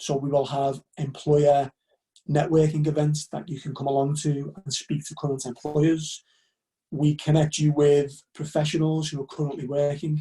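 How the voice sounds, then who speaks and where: A man with a Liverpool accent speaks at a moderate pace in a fairly high pitch and a flat monotone. His tone is dark, mellow and somewhat breathy. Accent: Liverpool (Scouse). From northern England, Liverpool. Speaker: university recruitment officer. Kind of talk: webinar presentation. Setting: live online webinar.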